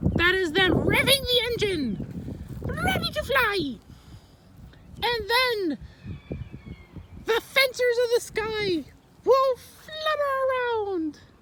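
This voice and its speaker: Very slow and extremely high-pitched, a cartoonish character voice speaks with long, frequent pauses. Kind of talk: comedic fake educational talk to camera. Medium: puppet. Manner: flamboyant, theatrical.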